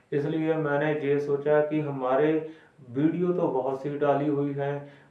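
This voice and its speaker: In a Punjabi accent, a man talks at a fairly high pitch, with audible room echo around him. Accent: Punjabi-accented Hindi. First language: Punjabi (speaking Hindi). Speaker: Sikh religious explainer. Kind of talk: religious explainer talk. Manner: halting.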